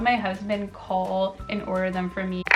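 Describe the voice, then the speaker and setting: A woman with an American accent over noticeable background noise. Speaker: lifestyle vlogger. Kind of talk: casual vlog talk.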